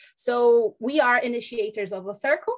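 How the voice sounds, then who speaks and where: A woman of fairly high pitch with a Portuguese accent. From Brazil. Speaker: foundation representative. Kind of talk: webinar presentation. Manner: halting, many fillers.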